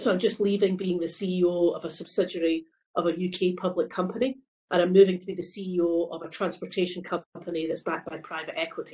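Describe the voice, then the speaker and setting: In a Scottish accent, a woman speaks very fast and somewhat breathily at a medium pitch, her intonation monotone and flat while her loudness swings widely. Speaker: company CEO. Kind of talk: panel discussion.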